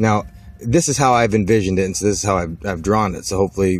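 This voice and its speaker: Very fast man's voice at a fairly low pitch, ordinary pitch variation, noticeable background noise. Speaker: amateur science presenter. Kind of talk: informal explainer walking through drawings. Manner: halting, many fillers.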